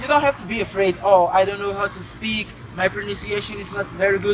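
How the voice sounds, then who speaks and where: Against crowd noise in the background, a man with a high pitch talks at a fairly quick pace. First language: Portuguese. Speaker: foreign university student interviewee. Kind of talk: street interview.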